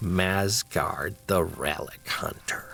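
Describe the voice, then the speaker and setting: A man is doing a put-on character voice. The pitch sits very deep and low. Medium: read story. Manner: haughty.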